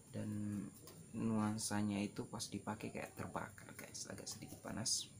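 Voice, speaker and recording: A man's fairly low pitch and monotone, flat intonation at a fairly slow pace, with noticeable background noise. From Sulawesi, Indonesia. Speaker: vlogger, hair colorist and tour guide. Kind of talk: casual tutorial vlog. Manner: casual, mixes in English filler words.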